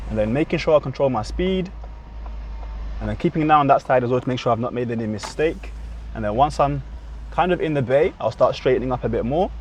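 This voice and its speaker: Talking at a very fast pace, a man breaks it up with long, frequent pauses. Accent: British. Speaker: driving instructor. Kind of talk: tutorial. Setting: in a car.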